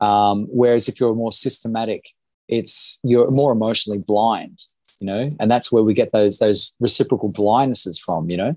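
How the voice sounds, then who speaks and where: A man with an Australian accent, medium pitch and a dark, mellow tone, at a moderate pace with fairly even intonation over a quiet background. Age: 30s. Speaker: small business owner, former political candidate. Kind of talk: casual interview conversation.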